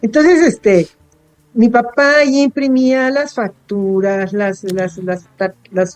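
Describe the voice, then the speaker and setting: Over music in the background, a woman speaks at a very slow pace. Her pitch swings very widely. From Baja California, Mexico (Tijuana). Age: 70s. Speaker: writer and editor. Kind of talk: interview.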